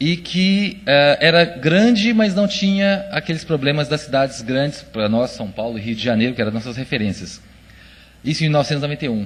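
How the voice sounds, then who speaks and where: A somewhat breathy man with a Minas Gerais accent, fairly high pitch, very wide pitch swings and a fairly quick pace. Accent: mineiro (Minas Gerais). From Minas Gerais, Brazil. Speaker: conference speaker. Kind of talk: presentation talk. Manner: hesitant, many fillers.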